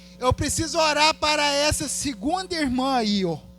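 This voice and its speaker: With very wide pitch swings, a man talks at a fairly slow pace over noticeable background noise. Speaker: guest preacher. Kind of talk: altar call and prayer ministry; sermon. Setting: church service.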